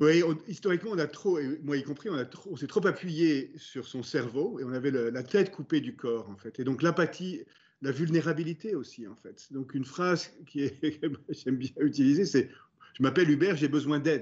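Using an ordinary speaking voice, a man talks at a moderate pace with lively intonation and big swings in loudness. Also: fairly high pitch for a man. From France. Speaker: business executive. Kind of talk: interview. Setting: video call.

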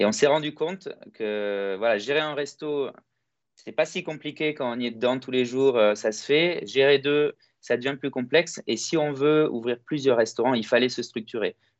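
A man with an unremarkable speaking voice talks at a fairly slow pace. His pitch is medium, with ordinary variation. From France (Toulouse) and Greece (Kalamata). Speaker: entrepreneur. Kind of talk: interview. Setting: video call.

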